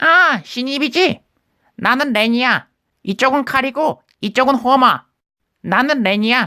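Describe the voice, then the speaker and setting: Someone uses a cartoonish character voice at a fairly slow pace, with long, frequent pauses. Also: female-sounding voice, high pitch for a woman. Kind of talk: cartoon character impression.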